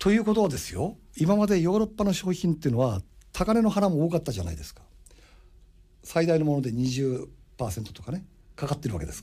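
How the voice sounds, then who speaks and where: A dark, mellow tone at a very fast pace, with very wide pitch swings, big swings in loudness and long, frequent pauses. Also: man, fairly high pitch for a man. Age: 60s. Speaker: radio host and import business consultant. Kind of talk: radio monologue. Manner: animated.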